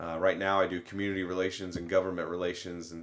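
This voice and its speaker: In an American accent, a man with a very deep, low pitch talks at a very fast pace in a monotone, flat manner. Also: very clean recording, silent background. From Indiana, US Midwest. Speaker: university communications director and mascot handler. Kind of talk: casual interview.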